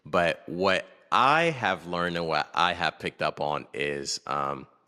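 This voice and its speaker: A man with a North American accent and a very deep, low pitch speaks at a fairly slow pace in a bright, sharp tone with ordinary pitch variation, in a dry, close sound with no echo. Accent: sounds North American. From Togo and Kenya. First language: Akwaso. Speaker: podcast guest. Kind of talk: casual interview. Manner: halting, many fillers.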